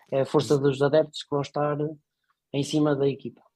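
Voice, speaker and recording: Somewhat breathy, fairly high voice of a man, dry and close with no echo. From northern Portugal, Póvoa de Varzim. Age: 30s. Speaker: football club supporter, executive recruitment consultant. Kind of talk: casual chat.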